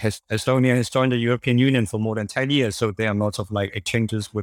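A man with a Cantonese accent at a medium pitch, very fast and with hardly any pauses, fairly even intonation, dry, close sound with no echo and a very clean recording with a silent background. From Hong Kong. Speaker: interview guest, expat journalist. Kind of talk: interview. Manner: halting, many fillers and repetitions.

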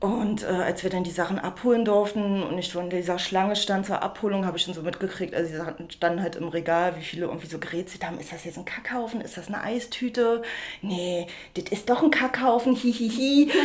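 A woman at a fairly quick pace and medium pitch, with ordinary pitch variation and big swings in loudness, over noticeable background noise. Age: 30s. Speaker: upcycling artist. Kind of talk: interview.

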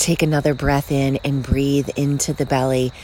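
Over noticeable background noise, a woman with a very deep, low pitch speaks at a fairly slow pace in a soothing, calm tone. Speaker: meditation guide and podcast host. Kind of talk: guided meditation. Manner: slow, soothing, calm and gently paced with long pauses; soft-spoken, warm and reassuring.

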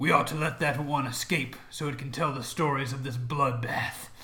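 A man puts on a raspy character voice over light background noise. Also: medium pitch for a man, moderate pace. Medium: actual play. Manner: formal, proud.

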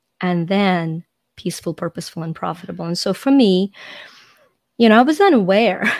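At a fairly quick pace, a woman of medium pitch talks with ordinary pitch variation and long, frequent pauses. The recording is dry and close, with no echo. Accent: Ukrainian. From Ukraine. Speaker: life coach. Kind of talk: podcast interview. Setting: video call.

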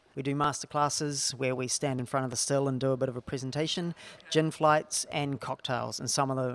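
A man's medium-pitched voice with a New Zealand accent, fairly even intonation and a fairly quick pace. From New Zealand (small town). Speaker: distillery co-founder. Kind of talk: casual interview.

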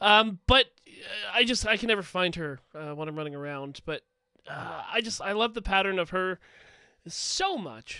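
Raising and projecting his voice, a man speaks at a high pitch and moderate pace with lively intonation. His tone is bright and sharp, with big swings in loudness. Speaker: podcast co-host. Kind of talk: casual chat.

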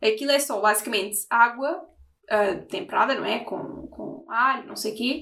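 A woman is speaking. Her pace is fairly slow. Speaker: podcast host. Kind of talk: casual interview.

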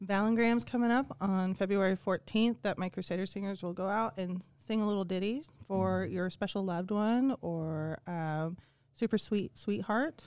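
A woman with an unremarkable speaking voice talks at medium pitch and a moderate pace, with ordinary pitch variation. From Kansas. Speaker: school choir teacher. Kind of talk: casual chat.

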